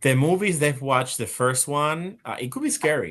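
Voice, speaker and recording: At a fairly quick pace, a man speaks with a Spanish accent. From Spain and Puerto Rico. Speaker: live stream host. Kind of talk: casual panel chat. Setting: live stream. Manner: halting, many repetitions.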